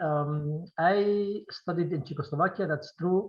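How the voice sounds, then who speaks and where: A man's high voice at a very slow pace, with a non-native accent and ordinary pitch variation. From Syrian Kurdistan (Qamishli). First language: Kurdish. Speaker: film director. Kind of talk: Q&A interview. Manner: halting, many repetitions.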